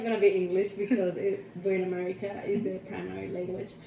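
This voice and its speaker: A woman speaks with a Spanish accent. Noticeable background noise runs under her voice. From Cuba. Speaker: interviewee, coworker. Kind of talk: casual interview. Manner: hesitant, many fillers.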